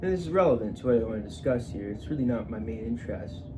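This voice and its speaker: At a very fast pace, a man talks at a medium pitch with very wide pitch swings. Room echo is audible. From Atlantic Canada (Newfoundland, Nova Scotia). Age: 20s. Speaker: vlogger. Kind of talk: casual personal monologue. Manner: halting, with many fillers and restarts.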